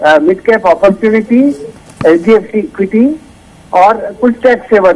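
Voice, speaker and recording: Noticeable background noise accompanies a man's high voice. His pitch varies in an ordinary way. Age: 60s. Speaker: caller. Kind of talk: call-in question. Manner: halting.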